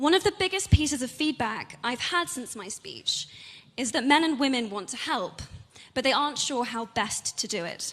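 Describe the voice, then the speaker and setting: A woman with a British accent, high in pitch, at a moderate pace, with very wide pitch swings. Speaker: actress and advocate. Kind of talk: public speech.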